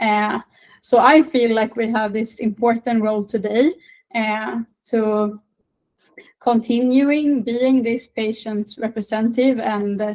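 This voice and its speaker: A woman with a Swedish accent speaks at a very slow pace, her fairly high voice keeping a fairly even intonation. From northern Sweden. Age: 20s. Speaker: patient advocate. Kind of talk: interview. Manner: halting, many fillers.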